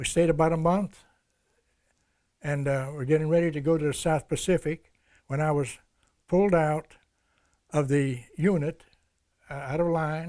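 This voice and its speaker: In a dark, mellow tone with an American accent, the speaker keeps a moderate pace and fairly even intonation, broken by long, frequent pauses. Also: man, fairly high pitch for a man. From Ohio, US Midwest (East Liverpool). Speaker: war veteran. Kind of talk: oral history interview. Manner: halting.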